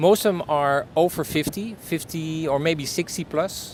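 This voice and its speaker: A man speaks with a Dutch accent. His intonation is lively. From Netherlands. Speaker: business owner, storytelling consultant. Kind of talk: interview answer. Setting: outdoors.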